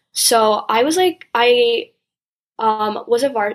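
This woman has a New Jersey accent. Her pitch is fairly high, with ordinary pitch variation. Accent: American (New Jersey). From New Jersey, US. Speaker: college student. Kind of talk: interview. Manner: frequent fillers and hesitations.

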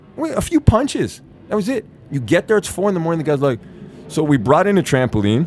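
Over music in the background, a man with a high voice talks very fast with very wide pitch swings. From Canada. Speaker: actor. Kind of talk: casual chat. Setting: studio.

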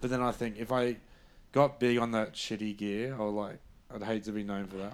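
The speaker talks at a fairly quick pace in an Australian accent with monotone, flat intonation. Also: man. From Brisbane, Australia. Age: 30s. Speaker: comedian and podcast co-host. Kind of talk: casual chat.

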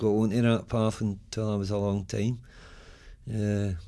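Speaking in a Scottish accent, a man uses a fairly low pitch and a dark, mellow tone, with monotone, flat intonation. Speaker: recovering addict, former homeless tenant. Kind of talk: testimony. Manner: natural, relaxed delivery.

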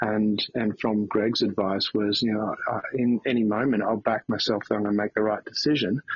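Over noticeable background noise, a man with an Australian accent talks at a moderate pace with hardly any pauses. His pitch is fairly low, and his intonation is monotone and flat. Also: very even loudness. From Australia, country Victoria. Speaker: CEO and motivational speaker. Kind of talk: interview. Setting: remote call from a beach house.

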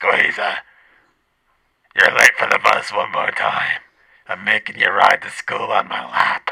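A raspy, put-on character voice from a man, extremely high-pitched, at a fairly slow pace with long, frequent pauses. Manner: mean, harsh.

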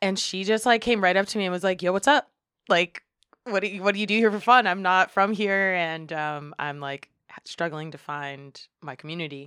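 A woman with an American accent and an ordinary speaking voice speaks at a moderate pace and medium pitch, her loudness swinging widely, in a very clean, dry, close recording with no echo and a silent background. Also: ordinary pitch variation. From Western Massachusetts (Springfield). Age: 30s. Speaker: community organization co-founder. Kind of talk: casual chat.

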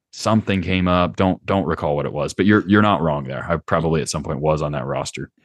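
With an American accent and vocal fry, a man talks very fast with hardly any pauses in a very deep, low voice of ordinary pitch variation, the sound dry and close with no echo. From US South, Charlotte, North Carolina. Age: 20s. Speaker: golfer and podcast host. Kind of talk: casual interview conversation.

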